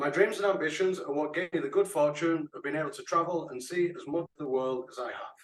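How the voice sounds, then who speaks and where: Here a man talks at a very fast pace. His pitch is high, with ordinary pitch variation. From northern England. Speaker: club member giving speech. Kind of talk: prepared speech. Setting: online meeting.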